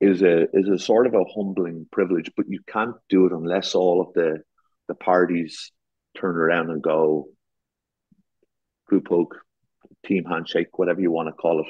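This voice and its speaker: A man with a very deep, low pitch, fairly even intonation and long, frequent pauses. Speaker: garden designer. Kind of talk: podcast interview. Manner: repetitive false starts.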